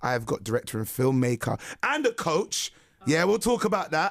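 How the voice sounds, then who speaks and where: A man with a London accent speaks at a fairly quick pace in a fairly high voice, his pitch swinging very widely, and the sound is dry and close with no echo. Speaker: radio host. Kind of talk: radio interview. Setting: radio studio.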